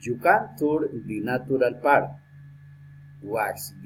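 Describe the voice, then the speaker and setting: Speaking at a very slow pace, a man uses a medium pitch. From Colombia. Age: 60s. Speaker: lawyer and language student. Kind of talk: prepared speaking exercise. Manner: halting.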